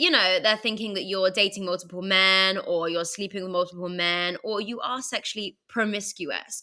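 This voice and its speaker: In a British accent, a woman talks at a medium pitch and a moderate pace, with hardly any pauses. Her tone is bright and sharp, and her intonation fairly even. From England, London. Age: 30s. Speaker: entrepreneur and podcaster. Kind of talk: podcast interview.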